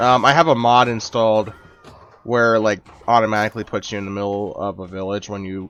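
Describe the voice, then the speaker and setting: Ordinary pitch variation in an unremarkable speaking voice, delivered at a fairly quick pace. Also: man. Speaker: gaming YouTuber. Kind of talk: let's play commentary. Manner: casual, many fillers.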